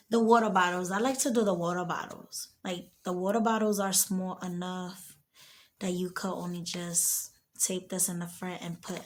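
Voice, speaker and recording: The voice is soft-spoken and somewhat breathy. It keeps a moderate pace with fairly even intonation. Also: woman. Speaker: home gardener. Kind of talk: tutorial.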